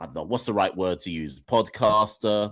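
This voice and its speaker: Against a quiet background, a man with an English accent speaks in a fairly low voice. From Jamaica, raised partly in UK from age four. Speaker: cricket podcaster and educator. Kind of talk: radio interview. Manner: halting, many fillers.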